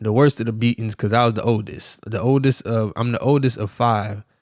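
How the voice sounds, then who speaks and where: Speaking at medium pitch and a moderate pace with fairly even intonation, a man with an American accent is recorded very cleanly against a silent background, dry and close with no echo. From US South, South Miami, Florida. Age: 40s. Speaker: podcast host and life coach. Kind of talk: motivational talk. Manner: casual, conversational.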